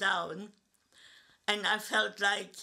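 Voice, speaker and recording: A woman's bright, sharp tone in a German accent, at a very slow pace. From Germany. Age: 80s+. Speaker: Holocaust survivor. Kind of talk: testimony. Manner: halting, with repetitions.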